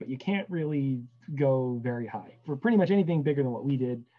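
His intonation rises and falls with liveliness. The man keeps up a fairly quick pace. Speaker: guest. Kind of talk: interview answer. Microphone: video call.

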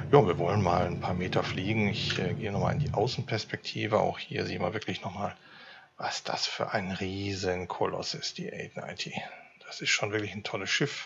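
A normal speaking voice moves at a moderate pace over light background noise. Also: man, fairly low pitch for a man, ordinary pitch variation. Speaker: gamer. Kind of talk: casual let's-play commentary.

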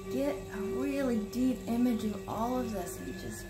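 A woman talks at a fairly slow pace. Music sounds clearly behind her.

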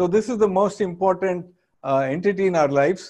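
A man's high-pitched voice with a dark, mellow tone, ordinary pitch variation and a fairly quick pace over a quiet background. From India, Andhra Pradesh. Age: 60s. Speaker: business school professor. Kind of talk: lecture. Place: studio. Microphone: lapel.

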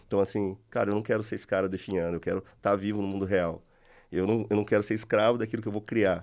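A man talks at a very fast pace with a fairly low pitch. His intonation is monotone and flat against a quiet background. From Taubaté, interior of São Paulo state, Brazil. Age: 40s. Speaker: business manager and martial arts gym co-founder. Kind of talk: casual chat. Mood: relaxed, reflective. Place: studio. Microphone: studio mic.

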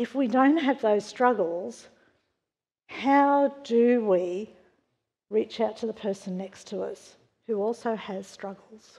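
Against a quiet background, a woman with an Australian accent speaks at a very slow pace, with long, frequent pauses. Her fairly high pitch shows ordinary variation, and her tone is dark and mellow. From Australia, western Sydney. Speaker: church member sharing testimony; preacher. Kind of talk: testimony. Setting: church. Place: church.

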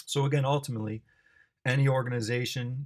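Somewhat breathy, a man with an American accent talks at a moderate pace with fairly even intonation. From US Midwest, Chicago. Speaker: basketball coach and athletic director. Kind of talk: presentation talk. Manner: hesitant fillers.

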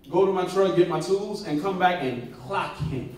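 There is audible room echo as a man with a high pitch speaks in an animated tone. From Jamaica. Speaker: preacher. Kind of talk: sermon. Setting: church. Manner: animated, call-and-response with congregation; rising preacher in full flow, rhythmic, emphatic, punctuated by amens. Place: church. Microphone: camera far.

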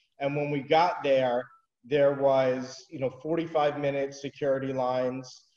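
Against a quiet background with audible room echo, a man speaks in a dark, mellow tone. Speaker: remote interview guest. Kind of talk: interview answer. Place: home room. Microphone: video call.

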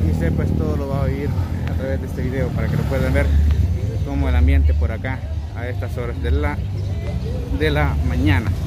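A man's fairly quick speech with ordinary pitch variation, in a dry sound with no echo over loud background noise. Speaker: local vlogger. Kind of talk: casual vlog commentary. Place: street. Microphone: phone near.

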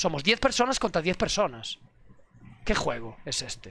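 There's a bright, sharp tone to this man's voice, heard at a moderate pace in a dry sound with no echo and light background noise. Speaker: streamer. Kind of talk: casual stream rant. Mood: mock-angry, heated rant. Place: home room. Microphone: headset.

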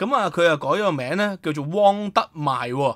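In a very clean recording with a silent background, a man talks at a moderate pace in a high voice. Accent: Hong Kong. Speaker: historian and online commentator. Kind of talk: solo news commentary. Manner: halting, many filler sounds.

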